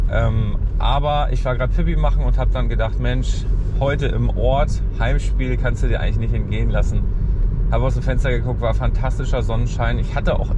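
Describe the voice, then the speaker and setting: A man talks at a fairly quick pace. The sound is dry with no echo, though loud background noise is present. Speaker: flea market vlogger. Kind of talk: casual vlog chat. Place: car. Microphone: phone near.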